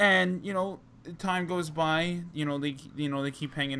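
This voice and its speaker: Music plays in the background as a man with a New Jersey accent speaks at a moderate pace with ordinary pitch variation. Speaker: wrestling podcast host. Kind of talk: casual chat. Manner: halting, many fillers.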